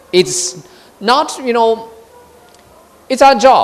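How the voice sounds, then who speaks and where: Someone with a Chinese accent speaks at a very slow pace, with noticeable background noise behind them. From China. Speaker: diplomat. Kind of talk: speech. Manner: halting.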